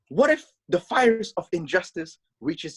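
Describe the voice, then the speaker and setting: This man's pitch swings very widely. The sound is dry and close, with no echo. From Philippines. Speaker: young theatre company member on a panel. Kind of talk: panel discussion. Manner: halting with fillers and restarts.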